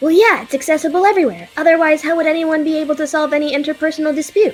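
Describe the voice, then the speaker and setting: A put-on character voice, high-pitched and very fast, over faint music in the background. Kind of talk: audio drama dialogue.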